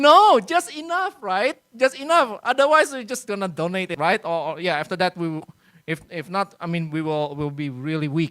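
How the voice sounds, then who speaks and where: The speaker has an Indonesian accent. The pace is moderate. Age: 40s. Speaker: workshop speaker on research publishing. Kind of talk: lecture. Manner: hesitant with many fillers.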